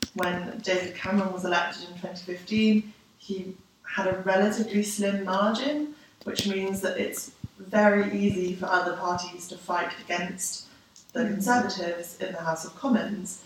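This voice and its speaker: A woman with a London accent speaks at a moderate pace and medium pitch, her intonation fairly even, with noticeable background noise. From London, England. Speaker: graduate student. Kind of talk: interview.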